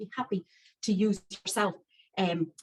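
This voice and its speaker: A woman talks with an Irish accent. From County Wicklow, Ireland. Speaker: chef and cookery teacher. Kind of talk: live cooking demonstration.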